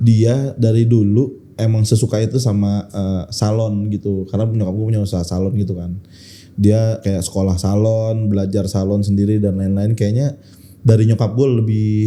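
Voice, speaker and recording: Speaking at a moderate pace, a man with a fairly low pitch delivers his lines in a monotone, flat intonation with a dark, mellow tone. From Jakarta, Indonesia (Betawi). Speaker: stand-up comedian. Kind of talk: casual podcast interview.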